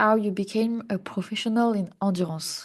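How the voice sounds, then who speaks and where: With a French accent, a woman talks at a moderate pace with a fairly high pitch. Her pitch varies in an ordinary way over a quiet background. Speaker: podcast host. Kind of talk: podcast introduction and interview.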